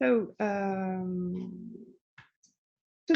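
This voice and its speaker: A somewhat breathy female voice with a dark, mellow tone. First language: French. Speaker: library director. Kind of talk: conference presentation. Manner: halting.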